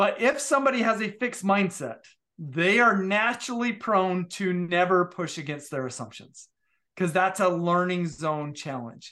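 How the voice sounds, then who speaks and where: In a quiet background, a man with an American accent speaks in a raised, projected voice, high-pitched, bright and sharp in tone, with lively intonation. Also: moderate pace. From Utah. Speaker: leadership professor and author. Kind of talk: interview conversation.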